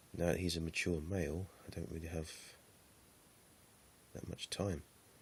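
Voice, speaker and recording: A man speaks at a moderate pace with a very deep, low pitch. His delivery is monotone and flat, and somewhat breathy. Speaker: tarantula keeper. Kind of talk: casual talk to camera.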